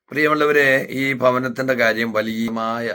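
His tone is bright and sharp, and the man's intonation stays fairly even. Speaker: pastor. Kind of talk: charity appeal. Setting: inside a hot house.

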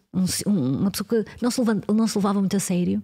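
A woman speaks very fast in a European Portuguese accent, with ordinary pitch variation. Her tone is dark and mellow, and somewhat breathy. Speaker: researcher on the future of work. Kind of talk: casual interview conversation.

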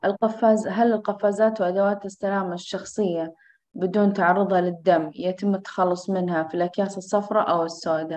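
A woman keeps a moderate pace and a fairly even intonation, with hardly any pauses. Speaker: course moderator. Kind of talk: moderating an online course. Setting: video call. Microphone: video call.

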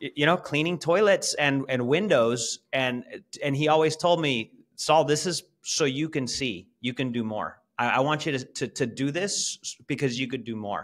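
Ordinary pitch variation and a moderate pace from a man, over a quiet background. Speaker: podcast guest. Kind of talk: interview answer. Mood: warm, reflective storytelling. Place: home room. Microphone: video call.

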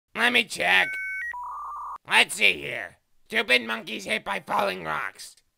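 A man speaks at a fairly slow pace in a put-on character voice. His delivery is broken by long, frequent pauses. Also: medium pitch for a man. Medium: dub. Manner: dry, weary.

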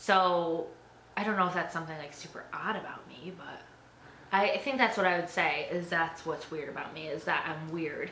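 A woman's low-pitched voice, bright and sharp in tone, with fairly even intonation and audible room echo

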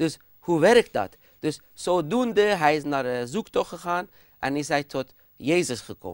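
Against a quiet background, a man speaks at a fairly slow pace with lively intonation. His pitch is fairly high and the sound is dry with no echo. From Iran. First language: Persian (speaking Dutch). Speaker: guest, pastor. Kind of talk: TV discussion; interview answer. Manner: hesitant. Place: studio. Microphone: lapel.

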